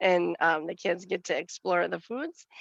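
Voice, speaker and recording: A woman talks in a Western Wisconsin accent at a moderate pace. The sound is dry and close, with no echo. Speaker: nutrition educator. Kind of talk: committee meeting report.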